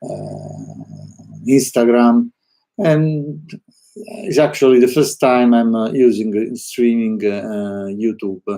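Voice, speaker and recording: A man with an Italian accent, medium-pitched and dark and mellow in tone, very slow, with ordinary pitch variation and big swings in loudness. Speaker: artist. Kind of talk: live stream monologue. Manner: halting, many fillers; spontaneous, unscripted.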